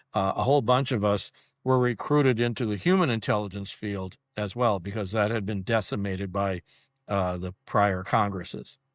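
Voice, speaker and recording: A man speaks with fairly low pitch at a moderate pace. The recording is very clean, with a silent background. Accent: Upper Midwest. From US Midwest (western Wisconsin). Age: 70s. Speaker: military veteran and political activist. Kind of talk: interview. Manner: halting, many fillers and restarts.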